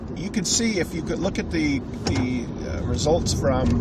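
A man's voice sits against loud background noise. The sound is dry, with no echo. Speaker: show co-host. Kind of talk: casual sports commentary chat. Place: car. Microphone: camera far.

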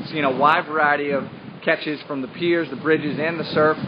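A man's fairly high voice at a moderate pace, fairly even in intonation, over faint background noise

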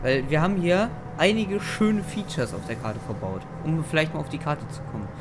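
A man with a fairly high pitch speaks at a fairly quick pace against noticeable background noise. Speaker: gamer / let's play host. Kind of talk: casual chat while gaming. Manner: playful, joking.

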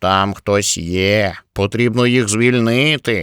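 In a put-on character voice, a man talks at a very slow pace with a fairly low pitch. The recording is very clean, with a silent background. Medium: read story.

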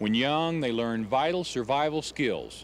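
A man talks at a fairly slow pace with very wide pitch swings, the sound dry with no echo and light background noise behind him. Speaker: nature documentary host. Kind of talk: documentary narration to camera. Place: waterside.

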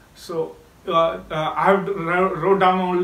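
Audible room echo around a male voice. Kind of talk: casual speaking practice monologue. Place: home room.

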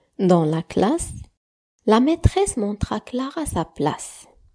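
A woman talks at a very slow pace in a gentle, soothing tone that is dark and mellow, her pitch swinging very widely. The recording is very clean with a silent background and a dry, close sound with no echo. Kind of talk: bedtime story narration for children. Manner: gentle, soothing storyteller; slow, warm, softly dramatized with hushed whispers for the characters.

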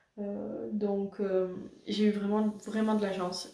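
A woman speaking at a very slow pace, with audible room echo. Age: 20s. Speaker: YouTuber. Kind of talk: casual talk to camera. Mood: calm, reflective, somewhat emotional. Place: home room. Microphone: camera far.

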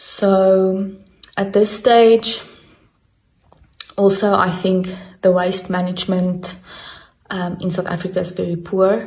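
Speaking at a very slow pace, a woman keeps a monotone, flat intonation. Her pauses are long and frequent. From South Africa. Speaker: biology teacher. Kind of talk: interview answer. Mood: calm, concerned. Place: home room. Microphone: phone near.

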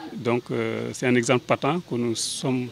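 A man talks with fairly even intonation. The sound is dry with no echo, and faint music plays in the background. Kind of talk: press interview answer. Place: street. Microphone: handheld.

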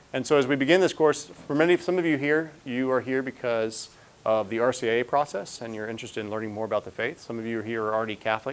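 A man talks at a very fast pace with ordinary pitch variation. Light background noise is present. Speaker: priest lecturer. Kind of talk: lecture. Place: hall.

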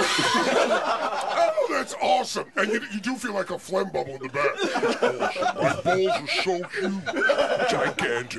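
A man talks at a very slow pace with hardly any pauses over loud background noise. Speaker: radio host. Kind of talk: radio show banter. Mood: amused, laughing. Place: studio. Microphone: studio mic.

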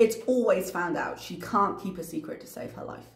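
A woman's lively intonation amid audible room echo. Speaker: YouTube reaction commentator. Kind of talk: commentary vlog. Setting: home recording late at night. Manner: articulate.

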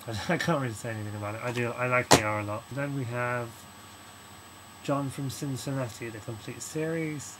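A man mumbles with a British accent. Loud background noise is present. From United Kingdom. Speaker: video blogger. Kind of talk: casual talk to camera. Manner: mumbling. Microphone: webcam.

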